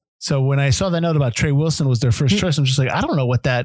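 A man speaks with a fairly high pitch, ordinary pitch variation and a somewhat breathy quality. The recording is very clean, with a silent background. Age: 40s. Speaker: film podcast co-host. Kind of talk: casual chat.

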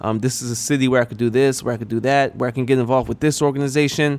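A man speaks with an American accent and a normal speaking voice. His pitch is medium, with ordinary variation. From New York. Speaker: podcast host, career advice. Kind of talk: solo podcast monologue. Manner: casual, filler-heavy.

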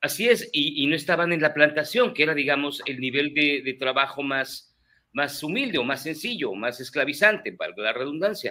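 A man with a fairly high pitch and a bright, sharp tone speaks at a moderate pace with lively intonation. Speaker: podcast guest. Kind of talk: casual chat.

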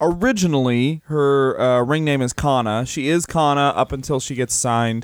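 A man's unremarkable speaking voice, moderately paced, with ordinary pitch variation. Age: 30s. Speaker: comedian podcast co-host. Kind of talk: casual chat.

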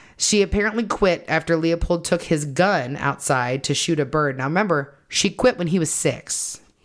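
A woman with a plain, everyday voice, fairly low in pitch, speaks at a moderate pace with lively intonation and hardly any pauses in a very clean recording with a silent background. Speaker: podcast host. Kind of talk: true-crime narration, telling the case story to co-hosts. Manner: storytelling, conversational; earnest, apologetic.

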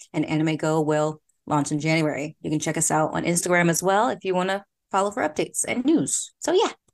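In an American accent, a woman with a plain, everyday voice speaks at a fairly quick pace, her fairly low pitch showing ordinary pitch variation against a quiet background. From Philadelphia, US. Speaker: podcast host, former teacher in Korea. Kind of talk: casual interview chat.

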